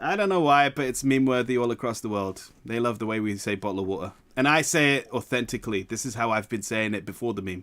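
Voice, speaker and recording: In a very clean recording with a silent background, a man speaks with a British accent at a medium pitch. His pace is very fast, with ordinary pitch variation and hardly any pauses. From England. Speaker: streamer. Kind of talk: casual chat.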